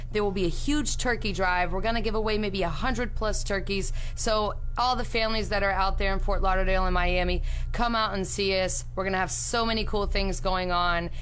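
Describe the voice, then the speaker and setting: Using a plain, everyday voice, a woman talks at a fairly quick pace in a medium pitch, with fairly even intonation and very even loudness. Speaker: community event organizer. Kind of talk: event promotion on radio.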